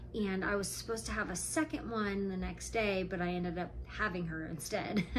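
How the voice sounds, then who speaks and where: Over noticeable background noise and audible room echo, a woman with an American accent talks at a fairly quick pace. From Nevada. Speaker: vlogger, stay-at-home mom. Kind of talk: casual vlog talk to camera. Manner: frequent ums, conversational.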